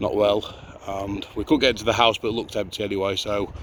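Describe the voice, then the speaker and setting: Noticeable background noise behind a man with a fairly low pitch, speaking at a fairly quick pace. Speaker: urban explorer vlogger. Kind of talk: casual vlog commentary.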